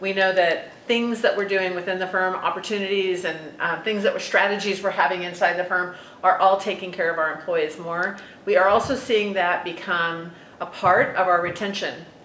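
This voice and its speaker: Amid audible room echo and noticeable background noise, a woman speaks at a moderate pace with fairly even intonation. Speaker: consulting firm president and talent expert. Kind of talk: podcast conversation.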